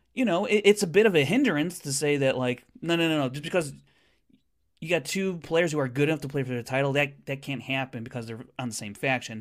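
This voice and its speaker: On a very clean recording with a silent background, a man talks with a fairly high pitch and lively intonation. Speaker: co-host and commentator. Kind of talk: casual banter, sports-style commentary. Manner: teasing, animated.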